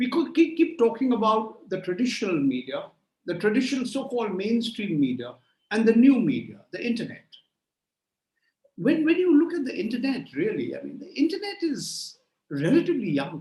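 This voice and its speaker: A man with a Bengali accent speaks at a fairly quick pace at an extremely high pitch, with very wide pitch swings and big swings in loudness. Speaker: journalist. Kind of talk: conference keynote talk. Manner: hesitant, repeats words; extempore, no notes.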